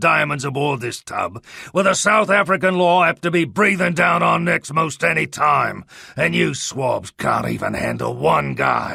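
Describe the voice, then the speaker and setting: Bellowing in a put-on character voice, a man sounds raspy and fairly high-pitched. He keeps a moderate pace. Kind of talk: audiobook narration. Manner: roaring, sarcastic.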